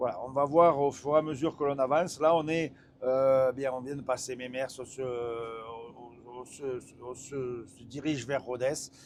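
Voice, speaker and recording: A man with a strong northern French accent, medium pitch, fairly even intonation and a fairly slow pace. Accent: strong northern French (ch'ti). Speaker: truck test driver and reviewer. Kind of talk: live driving review commentary. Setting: in a truck cab while driving. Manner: hesitant, many fillers and repetitions.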